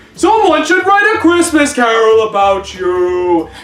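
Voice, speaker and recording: Against music in the background, the speaker keeps a fairly slow pace. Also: woman. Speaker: amateur dramatic reader. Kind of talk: dramatic storybook reading.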